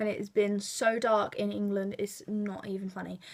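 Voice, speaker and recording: Speaking with a London accent, a woman keeps her intonation flat and monotone. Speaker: beauty vlogger. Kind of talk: tutorial. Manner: casual, chatty.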